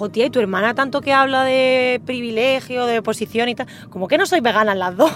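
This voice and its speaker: Over noticeable background noise, a high-pitched woman talks at a fairly quick pace with ordinary pitch variation. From Jaén, Andalusia, Spain. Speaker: podcast co-host. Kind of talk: casual chat. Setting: in a car.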